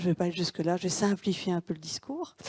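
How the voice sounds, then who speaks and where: A woman speaks in a flat, monotone way at a fairly low pitch, with a dark, mellow tone. The sound is dry and close with no echo, on a very clean recording over a silent background. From Belgium, Wallonia. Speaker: tourism consultant. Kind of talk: conference presentation. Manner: halting, many hesitations.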